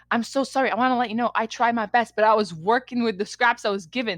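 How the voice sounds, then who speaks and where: A woman talks at a fairly quick pace with fairly high pitch and an unremarkable speaking voice. The sound is dry and close with no echo, on a very clean recording with a silent background. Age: 20s. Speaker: podcast co-host and editor. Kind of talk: casual chat.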